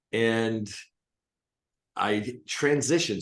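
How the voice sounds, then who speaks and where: Lively intonation marks this man's normal speaking voice, pitched fairly low. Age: 60s. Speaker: hypnotist and coach. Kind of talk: interview.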